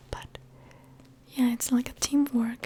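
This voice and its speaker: Noticeable noise sits in the background. A woman whispers at a fairly slow pace. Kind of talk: ASMR show and tell video, soft spoken. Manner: soft-spoken.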